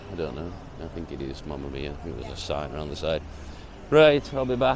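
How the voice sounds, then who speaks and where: A man's voice with audible room echo. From northern England. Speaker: travel vlogger. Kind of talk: casual walking vlog. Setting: outdoors on London streets, then a cafe. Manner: casual, profane.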